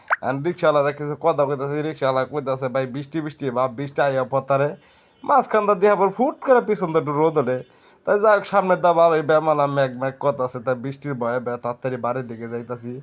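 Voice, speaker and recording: A man with a plain, everyday voice, a fairly high pitch and ordinary pitch variation, in a quiet background. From Dhaka division, Bangladesh. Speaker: travel vlogger. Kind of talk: casual vlog narration. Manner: rambling, repetitive.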